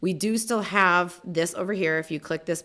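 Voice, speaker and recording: Intonation remains fairly even throughout. It is a woman talking. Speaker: small business advisor presenting a tutorial. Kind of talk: tutorial. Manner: fast.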